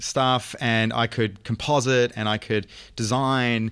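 Very clean, silent-background audio of a man with an Australian accent. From Australia, Brisbane. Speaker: film writer and director. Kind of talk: casual chat. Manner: halting, many fillers.

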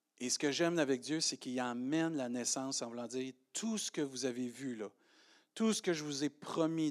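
On a very clean recording with a silent background and a dry, close sound with no echo, a man with a Quebec accent speaks at a medium pitch and fairly slow pace with ordinary pitch variation. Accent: Québécois French. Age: 50s. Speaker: pastor. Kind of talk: sermon. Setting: church.

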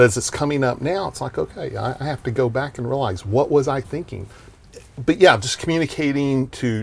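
With a Texan accent, a man of medium pitch talks at a fairly quick pace with lively intonation. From Texas, small town (Vernon). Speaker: marketing entrepreneur and event promoter. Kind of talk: casual interview chat.

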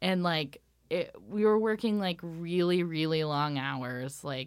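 Very deep and low, a woman's voice comes through with lively intonation and a Pacific Northwest accent at a fairly slow pace. The recording is very clean, with a silent background. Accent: American, Pacific Northwest. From Washington State, Ellensburg. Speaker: costume designer. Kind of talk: casual interview.

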